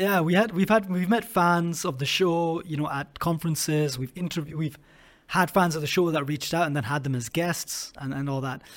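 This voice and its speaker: In a very clean recording with a silent background, a man with a Scottish accent speaks at a high pitch with ordinary pitch variation. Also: fairly quick pace. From Scotland. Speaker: podcast host. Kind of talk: interview.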